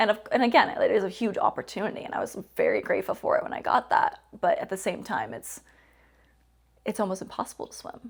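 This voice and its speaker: Talking at a very fast pace, a woman's voice shows big swings in loudness. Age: 20s. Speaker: professional wrestler. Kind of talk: interview.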